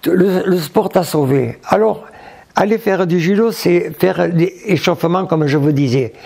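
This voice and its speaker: Lively intonation carries a man's speech, which unfolds very slowly. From France, Hautes-Pyrénées. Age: 90s. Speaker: retired judo teacher. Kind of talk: interview. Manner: halting.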